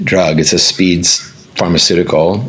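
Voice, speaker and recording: Amid noticeable background noise and audible room echo, a man with an American accent talks at a moderate pace with fairly even intonation. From US, Northern Virginia. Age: 40s. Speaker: breathwork and meditation teacher. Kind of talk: casual interview.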